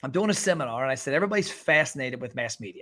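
Recorded very cleanly against a silent background, a man with an unremarkable speaking voice talks at a fairly high pitch with lively intonation. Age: 40s. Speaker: restaurant marketing consultant. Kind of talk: interview.

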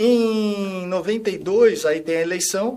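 High pitch from a male speaker, with pitch that varies in an ordinary way. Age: 50s. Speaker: former footballer and coach. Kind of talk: casual interview chat. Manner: calm.

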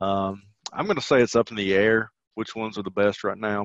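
Over a quiet background, a man talks in a flat, monotone way, the sound dry and close with no echo. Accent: Southern US. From Tennessee, US South. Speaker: teacher and podcast host. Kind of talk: casual podcast conversation.

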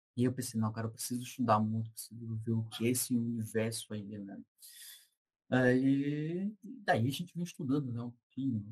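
Somewhat breathy delivery at a moderate pace. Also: man. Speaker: information security researcher. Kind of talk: casual interview chat.

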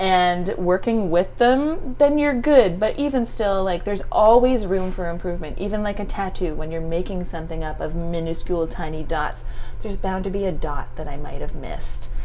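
A woman with a Canadian accent at a moderate pace, with audible room echo and noticeable background noise. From Ontario, Canada (Stratford). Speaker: makeup and brow artist. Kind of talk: casual chat. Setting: her studio.

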